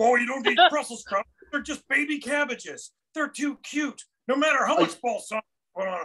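Putting on a character voice, a man talks at a fairly quick pace with extremely high pitch.

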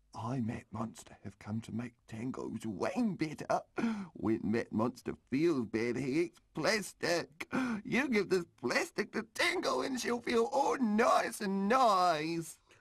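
Using a cartoonish character voice, a man speaks in a high pitch at a fairly slow pace. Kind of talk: children's puppet show. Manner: childish, broken grammar, playful.

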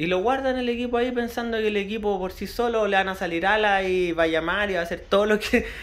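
In a Chilean accent, a man with a high pitch talks at a very fast pace with ordinary pitch variation. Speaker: radio hobbyist youtuber. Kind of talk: tutorial. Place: home room. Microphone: phone near.

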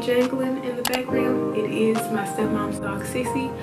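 At a moderate pace, a woman talks while loud music fills the background. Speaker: vlogger. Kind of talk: casual vlog chat. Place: home room. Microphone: camera far.

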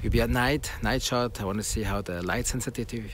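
A man talks at a fairly quick pace, the sound dry with no echo and noticeable background noise behind him. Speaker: tech vlogger. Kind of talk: casual vlog chat. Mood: upbeat despite device problem. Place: open country. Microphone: phone near.

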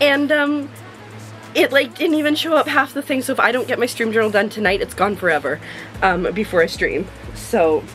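A woman's high-pitched voice at a fairly quick pace, with clear music in the background. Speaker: vlogger, streamer. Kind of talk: casual vlog chat. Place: home room.

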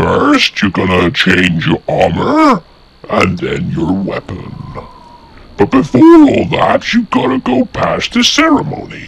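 A man puts on a character voice and delivers his lines at a fairly slow pace. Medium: machinima. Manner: commanding, imperious.

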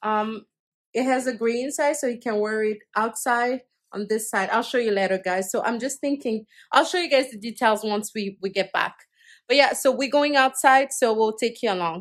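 Over a quiet background, a woman speaks at a moderate pace. Her pitch variation is ordinary. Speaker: family vlogger. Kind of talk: casual vlog chat. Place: home room. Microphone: phone near.

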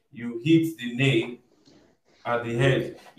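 The speech moves at a very slow pace. Audible room echo sits over a quiet background. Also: man. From Nigeria. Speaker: online show host; show host. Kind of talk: interview discussion. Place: home room.

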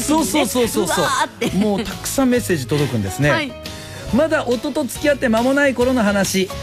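Over clear music in the background, a man speaks at an extremely high pitch with very wide pitch swings. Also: fairly quick pace. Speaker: radio host. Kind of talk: radio show reading listener messages. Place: studio.

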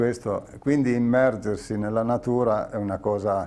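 A man talks in a dark, mellow tone. His intonation stays fairly even. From Piedmont, Italy (Pollenzo, Langhe area); Piedmont, Italy. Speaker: painter and exhibition curator; guest, speaker. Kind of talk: casual interview. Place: studio. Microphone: lapel.

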